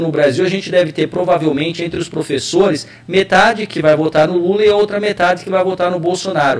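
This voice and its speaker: Noticeable background noise beneath fairly quick delivery. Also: man. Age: 40s. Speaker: political scientist and university professor. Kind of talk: interview on web radio. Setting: web radio live.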